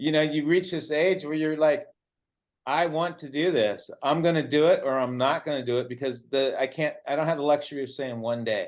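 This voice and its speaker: Against a quiet background, a man with a plain, everyday voice talks at a fairly quick pace, his pitch fairly high with ordinary variation. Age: 60s. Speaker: interviewer. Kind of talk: interview.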